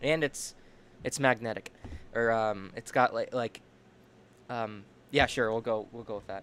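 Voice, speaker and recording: The loudness swings widely throughout. Intonation stays fairly even, broken by long, frequent pauses. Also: man, medium pitch for a man. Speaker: livestreamer. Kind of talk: casual livestream chat. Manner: fast; halting, many repetitions.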